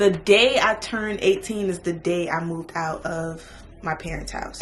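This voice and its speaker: With an American accent and ordinary pitch variation, the voice comes through over noticeable background noise. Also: woman. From Miami, Florida. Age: 20s. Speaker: beauty vlogger. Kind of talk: casual chat. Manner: fast.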